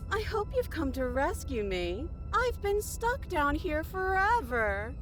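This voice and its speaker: A put-on character voice moves at a fairly slow pace against clear background noise. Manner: pleading.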